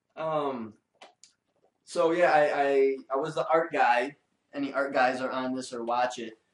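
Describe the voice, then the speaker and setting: Speaking at a fairly slow pace with long, frequent pauses, a man with a fairly high pitch and a Detroit accent keeps his intonation fairly even. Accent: Detroit American English. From US Midwest, Detroit. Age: 20s. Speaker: illustrator. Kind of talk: casual interview chat. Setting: in-person podcast.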